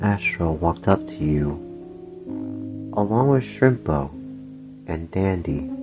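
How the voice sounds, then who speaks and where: A man speaks at a very slow pace with a very deep, low pitch and very wide pitch swings. Music plays in the background. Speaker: ASMR roleplay narrator. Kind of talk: ASMR roleplay story narration.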